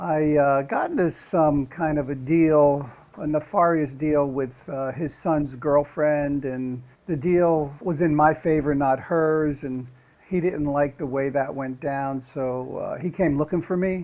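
Very slow speech from a man with an American accent, fairly high pitch and ordinary pitch variation. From North New Jersey. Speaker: actor. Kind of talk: interview.

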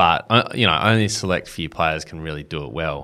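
The speaker talks with an Australian accent and ordinary pitch variation. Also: man. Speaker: podcast host. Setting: studio.

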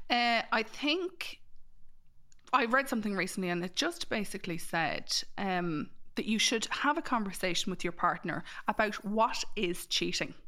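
A woman speaks with an Irish Midlands accent, a bright, sharp tone and a fairly high pitch. Her pitch swings very widely in a very clean recording with a silent background. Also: moderate pace. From Ireland, Mullingar. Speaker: matchmaker and dating coach. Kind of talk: casual chat.

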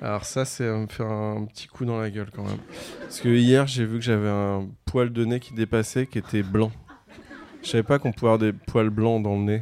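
Noticeable background noise sits behind a man speaking at a moderate pace and medium pitch. His intonation is monotone and flat, while his loudness swings widely. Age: 30s. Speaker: comedian and musician. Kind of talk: casual chat. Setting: stage with audience.

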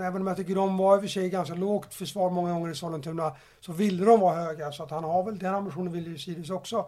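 High-pitched male voice with a dark, mellow tone, fairly even intonation and a fairly quick pace. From Stockholm, Sweden. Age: 30s. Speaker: football coach. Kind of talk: podcast interview.

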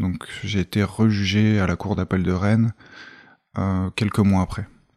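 A fairly low-pitched man at a fairly slow pace, his intonation fairly even. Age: 30s. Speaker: ex-prisoner and volunteer. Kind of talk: testimony. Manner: halting, many repetitions and fillers.

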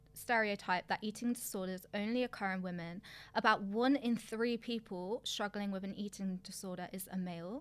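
A woman with a British accent, medium pitch, ordinary pitch variation and moderate pace, in a very clean recording with a silent background. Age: 20s. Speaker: podcast co-host, fitness coach. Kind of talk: reading statistics aloud; casual chat.

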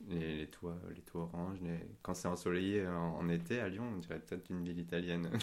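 Speaking fairly quickly with hardly any pauses, a man uses a very deep, low voice and fairly even intonation. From Paris, France. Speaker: podcast guest. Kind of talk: casual chat.

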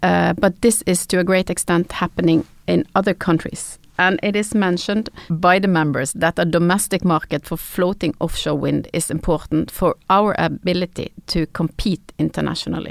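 A woman with a Norwegian accent speaks at a moderate pace in a fairly low pitch, with vocal fry and fairly even intonation. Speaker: podcast host. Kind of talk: interview. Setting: studio.

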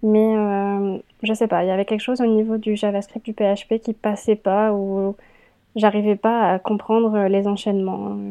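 This woman talks at a fairly slow pace and medium pitch. Her intonation is monotone and flat. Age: 20s. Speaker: UX/UI design apprentice and student. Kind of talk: interview. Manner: hesitant, many fillers.

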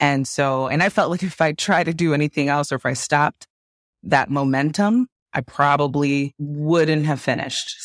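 Speaking with an American accent, a woman with a very deep, low pitch keeps a moderate pace and ordinary pitch variation in a very clean, dry, close recording with a silent background and no echo. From Chicago suburbs, Illinois. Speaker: anesthesiologist and podcaster. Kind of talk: casual interview.

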